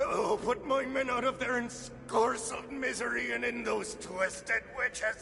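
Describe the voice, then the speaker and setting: Extremely high in pitch, a man performs a put-on character voice. Clear background noise runs underneath. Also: moderate pace. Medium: video game. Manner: rambling, breathless.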